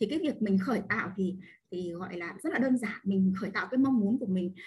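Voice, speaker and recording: A woman speaks at a moderate pace in a medium pitch. Her voice is somewhat breathy, with lively intonation. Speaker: online class participant. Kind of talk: personal testimony. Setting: video call. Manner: halting.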